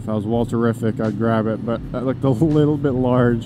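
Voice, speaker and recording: A man talks fairly quickly in a dry sound with no echo, over noticeable background noise. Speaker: motorcycle vlogger. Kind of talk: casual vlog chat. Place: motorbike. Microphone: helmet.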